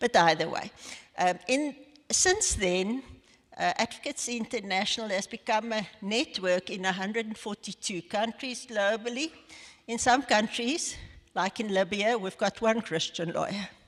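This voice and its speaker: At a moderate pace, a woman with a South African accent speaks at a fairly high pitch with ordinary pitch variation. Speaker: lawyer, head of legal ministry network. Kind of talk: interview in church service. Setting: church evening service.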